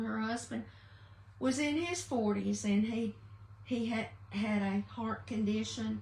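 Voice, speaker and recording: A woman's warm voice in a Southern US accent at a very slow pace, over noticeable background noise. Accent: Southern American. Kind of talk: casual livestream talk to viewers. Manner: warm, chatty.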